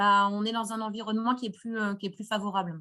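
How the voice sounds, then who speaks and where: A woman with a bright, sharp tone and fairly high pitch talks at a fairly quick pace. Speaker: lawyer. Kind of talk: webinar Q&A, legal explanation. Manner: fast.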